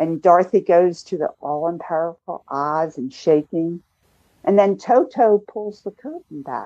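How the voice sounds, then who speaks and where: A woman with a dark, mellow tone speaks at a fairly slow pace, with lively intonation and big swings in loudness. The sound is dry and close with no echo, over a quiet background. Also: fairly low pitch for a woman. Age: 70s. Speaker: filmmaker and healing lecturer. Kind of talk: interview. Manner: animated.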